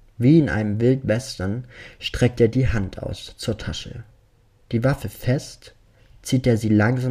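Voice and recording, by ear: A passage is read aloud in a natural voice.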